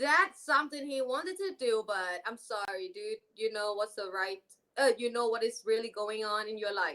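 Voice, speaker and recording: A woman with a fairly high, bright and sharp voice speaks loudly at a moderate pace. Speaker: podcast guest. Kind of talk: casual chat.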